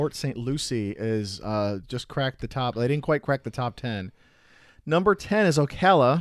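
In a very clean recording with a silent background and a dry, close sound with no echo, a man talks at medium pitch and a moderate pace with lively intonation. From US Midwest, Chicago area. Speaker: podcast co-host. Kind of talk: casual chat. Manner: loud.

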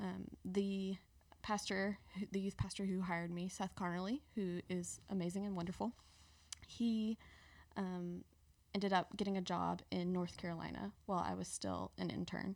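A woman with a Mississippi accent speaks at a moderate pace. Her medium-pitched voice is monotone, with flat intonation. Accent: Southern US (Mississippi). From US South, South Mississippi (Petal, near Hattiesburg). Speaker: seminary student, former church intern. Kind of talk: casual interview. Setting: studio.

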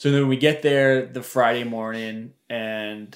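Here a man speaks at medium pitch with fairly even intonation. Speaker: hunter. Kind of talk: casual chat. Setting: studio. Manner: joking, bantering.

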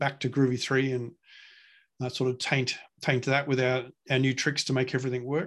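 Here a man with an Australian accent talks in a medium pitch. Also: very clean recording, silent background. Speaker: open-source software project lead. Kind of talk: casual interview. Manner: hesitant, many fillers.

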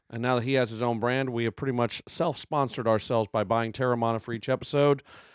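Recorded very cleanly against a silent background in a dry, close sound with no echo, a man with an unremarkable speaking voice talks fairly quickly at medium pitch. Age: 50s. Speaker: podcast co-host. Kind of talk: casual chat.

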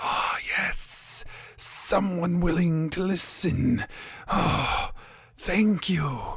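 A raspy, put-on character voice at middle pitch crawls along at a very slow pace. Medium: actual play. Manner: halting, formal and archaic.

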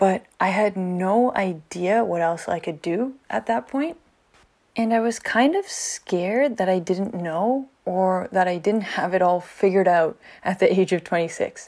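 A woman with a plain, everyday voice speaks at a fairly slow pace. Her medium pitch has ordinary variation, on a very clean recording with a silent background. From Canada. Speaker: podcast host, teacher. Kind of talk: solo podcast monologue.

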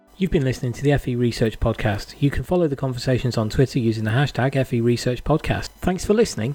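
This man speaks at a very fast pace with hardly any pauses. His tone is dark, mellow and somewhat breathy, with ordinary pitch variation. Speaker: podcast co-host. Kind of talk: casual interview chat.

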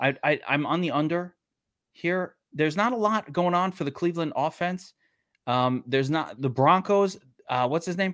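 In a Brooklyn accent, a man speaks at a moderate pace with high pitch and ordinary variation. The recording is very clean, with a silent background. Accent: New York (Brooklyn). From Brooklyn, New York. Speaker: sports betting podcast co-host. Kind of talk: casual chat. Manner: animated.

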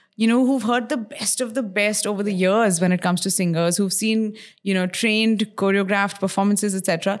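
Here is a woman with an unremarkable speaking voice. Her pitch is medium, with ordinary variation. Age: 30s. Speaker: radio host and podcaster. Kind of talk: casual chat. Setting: her home.

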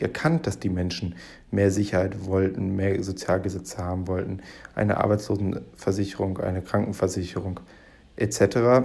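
Speaking at a moderate pace, a man has a fairly low, somewhat breathy voice with a dark, mellow tone and ordinary pitch variation. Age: 20s. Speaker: podcast host. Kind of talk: solo commentary monologue. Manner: halting, many fillers.

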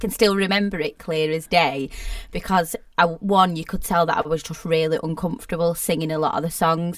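A normal speaking voice, a woman's, fairly low in pitch, at a fairly quick pace with ordinary pitch variation. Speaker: singer and entertainer, self-employed. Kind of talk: casual chat.

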